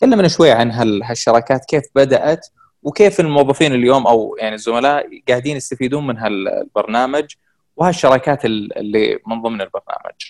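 A man speaks in a normal speaking voice at a medium pitch and moderate pace. His pitch varies in an ordinary way, and the sound is dry and close with no echo. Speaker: podcast host interviewer. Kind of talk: interview conversation.

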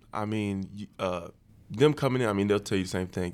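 On a very clean recording with a silent background, a man with a normal speaking voice and fairly low pitch talks at a fairly quick pace. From West Virginia (Huntington). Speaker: college football player. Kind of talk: casual chat.

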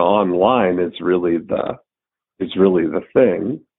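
A man talks with fairly even intonation and a fairly low pitch. It is a plain, everyday voice. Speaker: podcast host. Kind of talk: casual chat.

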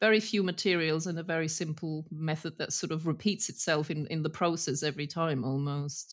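A woman speaks at a fairly quick pace in a fairly low pitch, captured in a very clean recording with a silent background. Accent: British. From Germany. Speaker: master retoucher of violins. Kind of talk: casual interview.

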